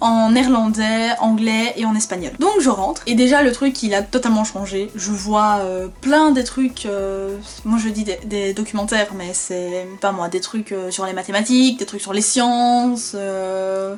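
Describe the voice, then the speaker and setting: A woman with a Flemish accent speaks at a fairly slow pace, her pitch fairly high. She hardly pauses at all. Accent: Flemish accent when speaking Dutch. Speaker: vlogger. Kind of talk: casual vlog storytelling. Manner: animated, conversational.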